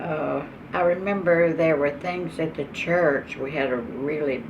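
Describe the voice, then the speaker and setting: Over noticeable background noise and audible room echo, a woman with an East Texas accent talks very slowly in a very deep, low pitch with lively intonation. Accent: East Texas Southern US. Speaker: oral history interviewee. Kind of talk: oral history interview. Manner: halting.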